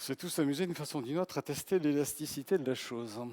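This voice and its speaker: The delivery is very fast, with a dry, close sound and no echo. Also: man. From south-west France. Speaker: professor of medical informatics and biostatistics. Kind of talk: humorous conference talk. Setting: conference stage with audience.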